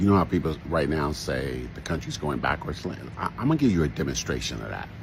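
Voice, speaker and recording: Over noticeable background noise, a man with a very deep, low pitch speaks at a fairly quick pace and with lively intonation. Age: 60s. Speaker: social commentator. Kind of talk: commentary monologue. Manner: halting, with repetitions.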